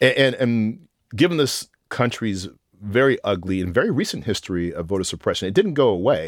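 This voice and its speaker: Speaking with an American accent, a man uses a medium pitch with very wide swings at a fairly quick pace. The recording is very clean with a silent background. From Texas (Austin). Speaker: professor. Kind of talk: casual chat. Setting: studio.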